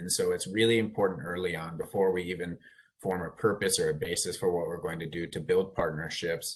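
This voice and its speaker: A very deep, low male voice with fairly even intonation. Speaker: air district official, panelist. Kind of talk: panel discussion.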